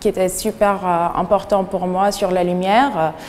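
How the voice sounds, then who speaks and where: A woman with an Arabic accent, medium in pitch and very slow in pace. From Syria. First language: Arabic (speaking French). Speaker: painter. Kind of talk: interview. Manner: halting, many hesitations.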